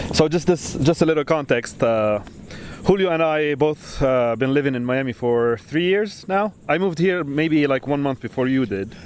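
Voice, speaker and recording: Music plays in the background as a man with a fairly high pitch speaks. He has a non-native accent and a moderate pace. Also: lively intonation. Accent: foreign. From Lebanon. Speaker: podcast host, architect. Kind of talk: casual chat. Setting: outdoors on a beach.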